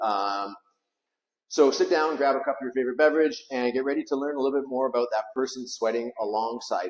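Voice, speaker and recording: An unremarkable speaking voice from a man at medium pitch, with ordinary pitch variation and a fairly quick pace. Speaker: podcast host, CrossFit coach. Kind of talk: podcast intro and interview questions.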